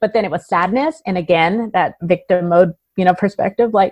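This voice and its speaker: This woman has a plain, everyday voice at a medium pitch with lively intonation. The sound is dry and close, with no echo. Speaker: entrepreneur. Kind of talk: interview.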